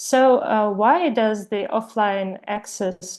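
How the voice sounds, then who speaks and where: With a Ukrainian accent, a woman talks at a fairly slow pace with ordinary pitch variation over a quiet background. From Ukraine. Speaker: webinar presenter, Wikipedia editor. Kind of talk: webinar presentation. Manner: halting, many fillers.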